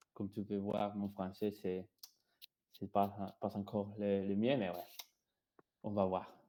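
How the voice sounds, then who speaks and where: Somewhat slowly, a man with a dark, mellow tone talks in a very clean recording against a silent background. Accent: Spanish. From Colombia. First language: Spanish (speaking French). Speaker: software engineer, presenter. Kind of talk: technical presentation. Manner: halting, many hesitations.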